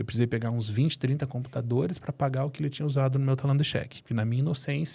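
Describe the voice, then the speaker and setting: With hardly any pauses, a man talks very fast in a somewhat breathy, medium-pitched voice, captured in a very clean recording with a silent background. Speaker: family constellation therapist and entrepreneur. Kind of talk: interview storytelling. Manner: animated.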